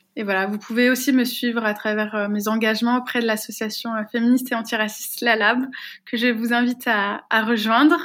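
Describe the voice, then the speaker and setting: A woman's fairly high voice at a fairly quick pace, with monotone, flat intonation. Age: 20s. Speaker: activist and researcher. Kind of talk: interview. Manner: hesitant, frequent fillers and repetitions.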